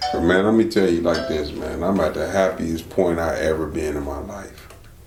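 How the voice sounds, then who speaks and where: Over music in the background, a man speaks at a very deep, low pitch. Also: moderate pace. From Toledo, Ohio. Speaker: rapper. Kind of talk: casual chat. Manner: animated.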